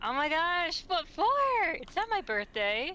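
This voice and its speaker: A put-on character voice, high in pitch, moves at a moderate pace over light background noise. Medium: game stream. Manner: evasive, joking.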